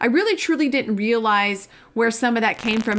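A woman's plain, everyday voice, fairly high in pitch, at a fairly quick pace with ordinary pitch variation, on a very clean recording with a silent background. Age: 40s. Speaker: pharmacist and pharmacy business consultant. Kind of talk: casual interview.

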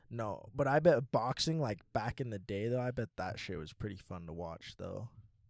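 With a plain, everyday voice, a man of medium pitch talks at a moderate pace with lively intonation and big swings in loudness, recorded very cleanly against a silent background. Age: 20s. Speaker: podcast host. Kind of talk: casual chat.

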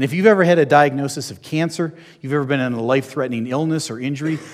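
Talking at a very fast pace, a man with an American accent is heard over noticeable background noise. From New Jersey. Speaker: airline pilot and minister. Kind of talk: sermon. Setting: church hall with audience.

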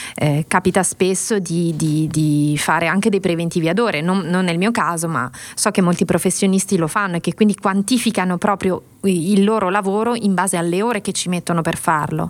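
A woman speaks in a plain, everyday voice at a medium pitch. Her pace is fairly quick, with ordinary pitch variation. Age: 40s. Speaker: podcast co-host. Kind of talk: casual chat. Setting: video call.

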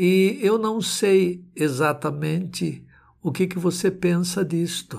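A man's very slow, high-pitched speech with ordinary pitch variation, on a very clean recording with a silent background. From Brazil. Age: 70s. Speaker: pastor and theology professor. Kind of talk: sermon.

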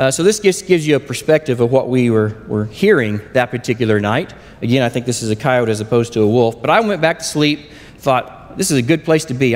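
A man with an Oklahoma accent, lively intonation, a fairly quick pace and hardly any pauses, over noticeable background noise. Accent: Oklahoma US Southern. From southern Oklahoma. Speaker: lay preacher. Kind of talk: sermon. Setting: church.

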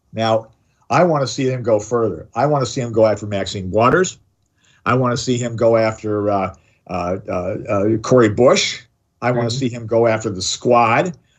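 A man with an American accent and an ordinary speaking voice talks at a moderate pace and medium pitch, with ordinary pitch variation. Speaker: radio host. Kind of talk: talk radio discussion. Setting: studio.

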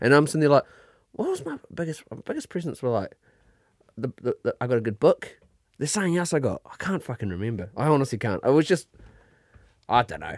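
A speaker with a New Zealand accent uses lively intonation at a fairly quick pace, with long, frequent pauses. The recording is very clean with a silent background and a dry, close sound with no echo. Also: man, fairly high pitch for a man, big swings in loudness. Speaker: podcast co-host. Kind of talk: casual chat.

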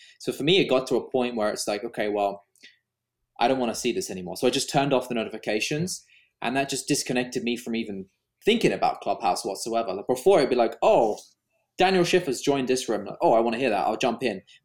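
With lively intonation, the speaker rushes along at a very fast pace on a very clean recording with a silent background. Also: man, medium pitch for a man. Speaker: video YouTuber and wedding filmmaker, podcast co-host. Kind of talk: casual chat.

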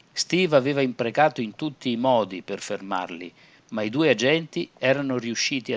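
The clip features a natural reading voice.

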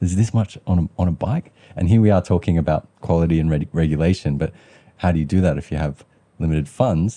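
A man with an Australian accent speaks very fast in a very deep, low pitch with ordinary pitch variation. His dark, mellow tone comes through a dry, close sound with no echo. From Western Sydney, Australia. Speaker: podcast host. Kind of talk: interview.

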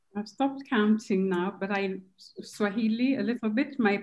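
Somewhat breathy, the voice keeps a moderate pace and a fairly even intonation. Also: woman. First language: Kikuyu. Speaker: translation studies professor. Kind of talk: panel discussion.

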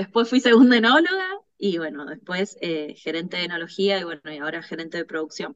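Moderate pace with lively intonation. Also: woman. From Argentina, Mendoza (Luján de Cuyo), born in Córdoba. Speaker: winemaker, production manager. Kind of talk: interview. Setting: remote call, guest in Mendoza. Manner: hesitant, with fillers and repetitions.

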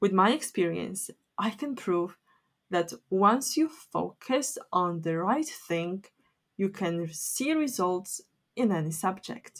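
Speaking at a very slow pace with a Polish accent, a woman has a medium pitch and very wide pitch swings. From Poland. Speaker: academic writing teacher. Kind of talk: solo educational podcast.

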